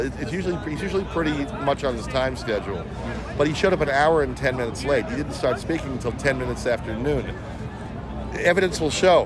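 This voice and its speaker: Over noticeable background noise and audible room echo, a man with a medium pitch talks at a very fast pace with ordinary pitch variation. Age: 60s. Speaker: interviewee at a political event, salesman and actor. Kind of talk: street interview. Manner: halting, repeats words.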